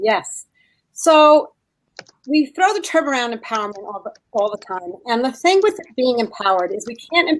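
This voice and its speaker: A woman in a New Jersey accent, very wide pitch swings, moderate pace. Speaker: leadership skills training consultant. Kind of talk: casual chat.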